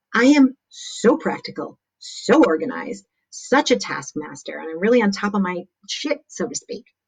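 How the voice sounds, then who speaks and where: At a moderate pace, a woman with a fairly high pitch speaks in an animated tone with vocal fry, very wide pitch swings and big swings in loudness. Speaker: motivational speaker. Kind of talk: livestream talk. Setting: live video stream.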